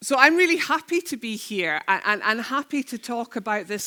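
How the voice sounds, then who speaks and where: A woman with a Scottish accent speaks in a bright, sharp tone. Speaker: head of a church-based charity network. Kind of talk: conference keynote talk. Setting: stage with audience and sign language interpreters.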